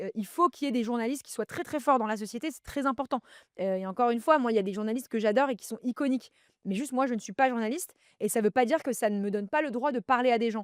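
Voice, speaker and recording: In a very clean recording with a silent background and a dry, close sound with no echo, a woman talks very fast at a fairly high pitch, her loudness swinging a lot. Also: ordinary pitch variation. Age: 30s. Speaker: podcaster and media entrepreneur. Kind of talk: casual chat.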